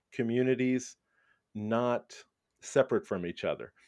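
In an American accent, a man talks at a medium pitch with a dark, mellow tone, the sound dry and close with no echo. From Brooklyn, New York. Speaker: school principal. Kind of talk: interview.

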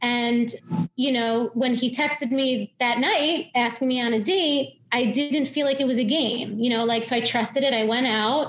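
Speaking at a moderate pace with an American accent, a woman keeps a high pitch, fairly even intonation and very even loudness. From New York, Long Island. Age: 30s. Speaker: health coach and dietitian. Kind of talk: interview conversation.

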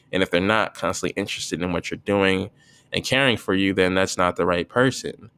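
A man with an American accent and a very deep, low pitch talks at a fairly quick pace in a bright, sharp tone with fairly even intonation, the sound dry and close with no echo on a very clean recording with a silent background. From US Northeast, northern New Jersey. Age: 20s. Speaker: podcaster. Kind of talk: casual solo monologue. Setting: at home.

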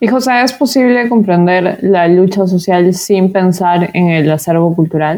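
At a fairly slow pace with hardly any pauses, a woman speaks at a medium pitch and very even loudness in a plain, everyday voice. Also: ordinary pitch variation. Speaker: podcast host, social researcher and activist. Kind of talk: interview conversation.

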